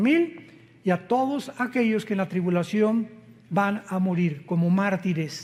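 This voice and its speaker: The man's voice sits high in pitch. It shows ordinary pitch variation. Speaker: preacher. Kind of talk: sermon. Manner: deliberately slow, careful pace.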